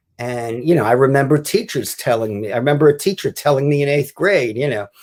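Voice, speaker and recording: A man with a normal speaking voice and a fairly high pitch, at a fairly quick pace, in a very clean recording with a silent background. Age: 60s. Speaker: author and wrestling writer. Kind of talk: podcast interview.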